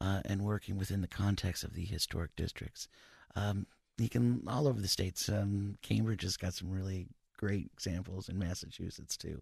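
In a quiet background with a dry, close sound and no echo, a man with an American accent speaks at a moderate pace. His very deep, low voice is somewhat breathy, with ordinary pitch variation. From US Midwest, northwest Ohio (Maumee, Toledo area). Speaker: city historic preservation planner. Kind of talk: radio interview.

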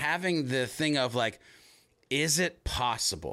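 With a bright, sharp tone and vocal fry, a man speaks in an animated tone at a moderate pace with lively intonation. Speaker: HubSpot trainer and inbound evangelist. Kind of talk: casual interview chat. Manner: animated, conversational.

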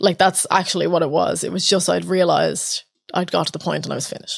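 Talking at a fairly quick pace, a woman has an Irish accent. The recording is very clean, with a silent background. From Ireland. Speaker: open mic host and organiser. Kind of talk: casual chat.

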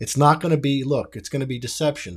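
On a very clean recording with a silent background, a man with a somewhat breathy voice talks at a very fast pace. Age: 30s. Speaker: podcast host. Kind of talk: solo commentary monologue. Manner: halting.

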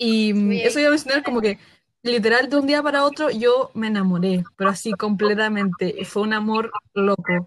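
With an ordinary speaking voice, a woman talks at a fairly high pitch and a moderate pace. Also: ordinary pitch variation. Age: 20s. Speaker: fan club leader. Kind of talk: casual chat.

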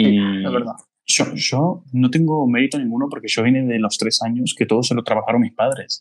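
With a plain, everyday voice, a man speaks fairly quickly at medium pitch, using ordinary pitch variation. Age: 20s. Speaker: podcast host, business consultant. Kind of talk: casual chat.

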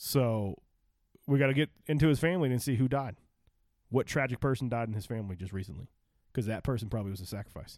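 Delivered at a very fast pace in an American accent, the speech has ordinary pitch variation and long, frequent pauses on a very clean recording with a silent background. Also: man, medium pitch for a man. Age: 30s. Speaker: sports podcast co-host. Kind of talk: casual chat.

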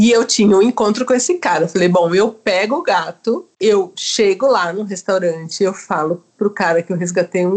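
A woman at a medium pitch, an ordinary speaking voice. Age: 40s. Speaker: psychologist and storytelling podcaster. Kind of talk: casual chat.

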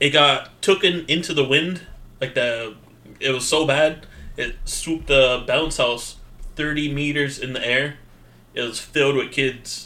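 A man uses an ordinary speaking voice of fairly high pitch. He speaks at a fairly slow pace with fairly even intonation. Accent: American. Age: 30s. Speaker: podcast co-host. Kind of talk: casual chat.

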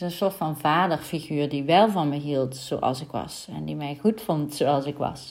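A woman speaks with a very deep, low pitch and ordinary pitch variation. Her pace is fairly slow, with hardly any pauses. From Netherlands, North Brabant. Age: 30s. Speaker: mindset coach. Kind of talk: solo podcast monologue.

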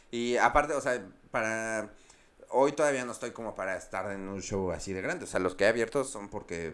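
A man at a fairly quick pace, in a Mexico City accent. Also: medium pitch for a man, ordinary pitch variation. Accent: Mexico City (chilango). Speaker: stand-up comedian. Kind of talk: casual chat.

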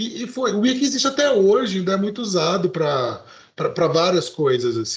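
A man talks with a high pitch, his voice swinging very widely between highs and lows. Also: moderate pace, hardly any pauses. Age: 40s. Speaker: podcast co-host. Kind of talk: casual chat. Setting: live stream.

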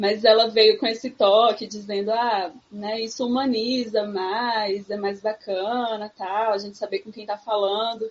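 Here a woman with a plain, everyday voice speaks at a fairly high pitch with fairly even intonation. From sertão of Pernambuco, Brazil. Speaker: psychologist. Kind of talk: casual chat.

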